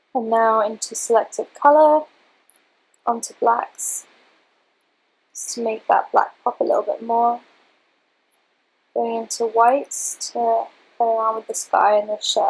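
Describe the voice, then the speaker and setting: Over music in the background, a woman speaks at a fairly slow pace with long, frequent pauses. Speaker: beauty photographer. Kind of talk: software tutorial narration. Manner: low-energy, subdued.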